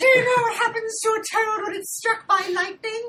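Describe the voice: Extremely high pitch in a put-on character voice, moderately paced.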